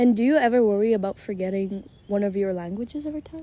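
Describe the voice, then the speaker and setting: A woman speaks at a very fast pace. Her medium-pitched voice has a dark, mellow tone. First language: Hebrew. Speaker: podcast co-host. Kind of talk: casual chat.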